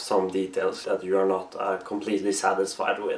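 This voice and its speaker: There is noticeable background noise as a man speaks with a Norwegian accent. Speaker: costume maker. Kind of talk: tutorial. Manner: halting, many pauses.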